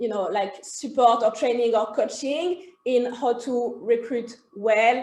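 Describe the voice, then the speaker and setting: A woman's high voice with a French accent and ordinary pitch variation. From France. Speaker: HR consultancy co-founder. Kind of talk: interview. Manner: hesitant, many fillers.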